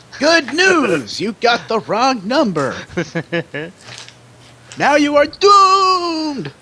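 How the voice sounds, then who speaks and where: A man's put-on character voice, extremely high in pitch and very slow, with long, frequent pauses. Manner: announcing, cheerful.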